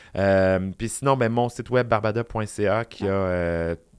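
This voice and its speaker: In a very clean recording with a silent background, a man talks at a fairly low pitch with ordinary pitch variation. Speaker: drag queen and public speaker. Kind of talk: casual chat.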